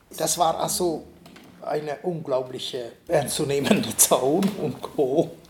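A man with a fairly high pitch and ordinary pitch variation speaks at a very slow pace over noticeable background noise. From eastern Hungary. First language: Hungarian (speaking German). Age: 70s. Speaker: artist and art professor. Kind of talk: interview. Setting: artist's studio.

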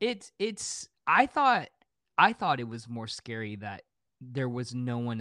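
A man's bright, sharp voice at medium pitch, fairly slow, dry and close with no echo on a very clean recording with a silent background. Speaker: podcast guest. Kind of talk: casual chat. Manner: well spoken.

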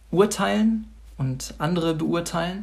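A man is speaking. His voice is somewhat breathy. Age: 20s. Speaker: church member giving devotional. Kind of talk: devotional talk.

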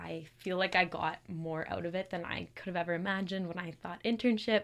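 A woman with a Western Canadian accent speaks at a fairly quick pace and fairly low pitch with fairly even intonation, on a very clean recording with a silent background. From Calgary, Alberta, Canada. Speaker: engineering student, club president. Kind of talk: casual interview.

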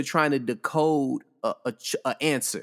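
In an ordinary speaking voice, a man with a fairly high pitch talks at a fairly slow pace, the sound dry and close with no echo. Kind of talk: casual podcast discussion. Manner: casual, filler-heavy, relaxed.

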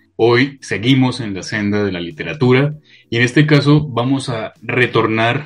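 A man talks at a moderate pace with ordinary pitch variation. He has an unremarkable speaking voice. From Colombia (Bogotá). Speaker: podcast co-host. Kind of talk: casual interview.

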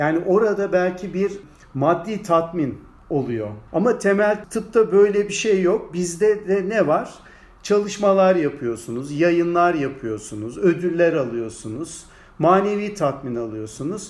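A man's voice sits high and swings very widely in pitch as he talks at a very slow pace. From Turkey, Ankara. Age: 60s. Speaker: anatomy professor. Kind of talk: interview.

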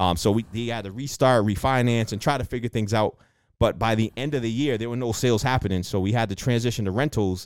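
The man talks at a very fast pace, his pitch medium and his intonation fairly even. The recording is very clean, with a silent background. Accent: Boston. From Boston, Dorchester. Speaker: real estate investor and loan originator. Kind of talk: interview.

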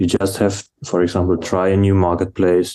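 A man's very deep, low voice, dark and mellow, in a flat monotone at a moderate pace against a quiet background. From Germany. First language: German. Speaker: operations manager at furniture company. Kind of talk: casual interview.

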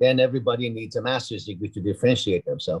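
This man speaks very fast at a medium pitch, somewhat breathy. The sound is dry and close with no echo. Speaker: university dean. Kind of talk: interview conversation.

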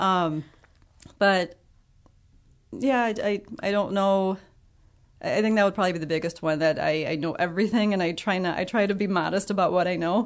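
A woman's fairly low-pitched voice in a Midwestern American accent, with ordinary pitch variation, over a quiet background. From Illinois (Ottawa). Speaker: biology teacher and birder. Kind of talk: interview.

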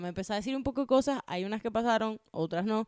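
With a Venezuelan accent, a woman talks at a high pitch with lively intonation. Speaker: podcast producer. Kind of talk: casual chat, personal anecdote.

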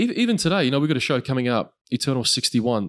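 Speaking at a very fast pace, a man is heard on a very clean recording with a silent background. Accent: Australian. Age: 20s. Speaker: combat sports commentator. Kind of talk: casual chat.

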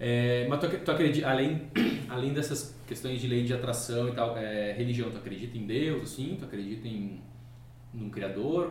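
Amid noticeable background noise and audible room echo, a man talks at a moderate pace with a medium pitch and ordinary pitch variation. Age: 30s. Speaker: podcast host. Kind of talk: casual chat.

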